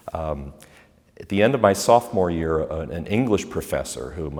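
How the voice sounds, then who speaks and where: A man with an American accent and a very deep, low pitch speaks at a moderate pace with vocal fry and lively intonation. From Pennsylvania, US. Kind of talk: interview. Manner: hesitant with fillers and repetitions.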